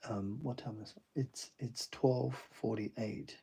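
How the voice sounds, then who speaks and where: Quietly, a man speaks at a very slow pace. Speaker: artist streaming a drawing session. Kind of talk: live-stream drawing commentary. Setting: home at night, others asleep. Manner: quiet, low-key; hesitant, many fillers.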